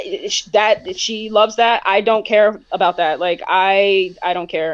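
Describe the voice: Her pitch is medium as the woman speaks with fairly even intonation.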